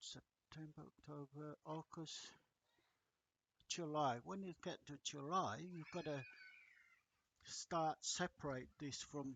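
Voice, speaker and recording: His pitch shows ordinary variation. The man talks very slowly. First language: not English. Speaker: agriculture lecturer. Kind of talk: lecture. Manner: halting, many fillers.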